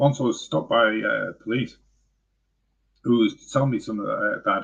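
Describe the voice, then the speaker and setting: A man talks with an English accent. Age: 50s. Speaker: vlogger. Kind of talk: live stream monologue. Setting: live stream. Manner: halting.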